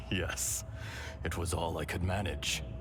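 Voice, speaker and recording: A man puts on a character voice, pitched very deep and low. He speaks fairly slowly over loud background noise. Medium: video game. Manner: calm, gentle, measured.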